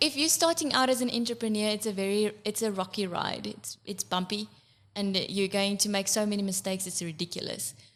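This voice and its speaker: A woman speaks with an Afrikaans South African accent. Her pitch is medium and her pace moderate. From South Africa, eastern Free State. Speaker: accountant and makeup business owner. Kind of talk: podcast interview.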